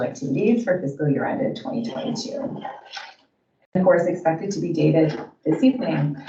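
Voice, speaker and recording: Woman speaking at a fairly quick pace, with audible room echo. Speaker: auditor. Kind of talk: formal presentation. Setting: council meeting. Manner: fast.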